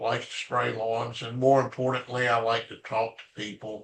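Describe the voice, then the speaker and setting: Bright and sharp in tone, a man talks in a Southern US accent. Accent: Southern US (Georgia). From US South, Atlanta, Georgia. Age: 70s. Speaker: retired business founder. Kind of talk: casual interview.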